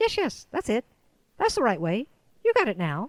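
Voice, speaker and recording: Using a put-on character voice, a woman speaks at a moderate pace. Her pitch sits high. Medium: read story.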